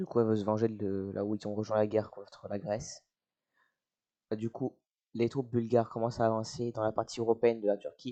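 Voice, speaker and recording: Talking at a fairly quick pace with medium pitch and fairly even intonation, a man leaves long, frequent pauses. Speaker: YouTuber narrating strategy game. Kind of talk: casual gameplay commentary. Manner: hesitant, many fillers.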